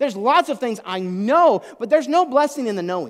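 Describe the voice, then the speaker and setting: In a very clean recording with a silent background, a man speaks at a high pitch and a fairly quick pace in an animated tone. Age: 40s. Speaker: pastor. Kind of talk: sermon.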